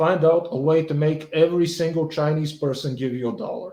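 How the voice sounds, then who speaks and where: A man with a Bulgarian accent speaks at a moderate pace in a fairly high pitch, his tone dark and mellow. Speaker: video blogger commenting on politics and economics. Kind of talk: solo commentary reacting to a quiz. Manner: halting, many fillers and restarts.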